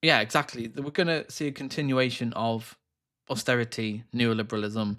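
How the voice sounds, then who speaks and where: A man with a British accent has a bright, sharp tone, a medium pitch and ordinary pitch variation. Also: moderate pace. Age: 30s. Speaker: political livestreamer. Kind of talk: live political commentary. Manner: animated.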